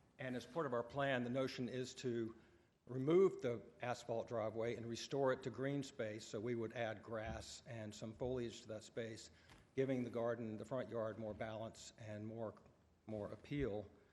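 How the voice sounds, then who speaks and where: With a medium pitch, a man delivers his words at a moderate pace. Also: fairly even intonation. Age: 50s. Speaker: homeowner applicant at zoning hearing. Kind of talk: public hearing testimony. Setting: public board meeting. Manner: hesitant, many fillers.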